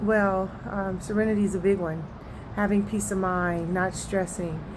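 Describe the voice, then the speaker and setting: A woman's medium-pitched voice, fairly even in intonation, with audible room echo. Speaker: network marketing promoter. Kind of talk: casual vlog monologue. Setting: outdoors. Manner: monotone.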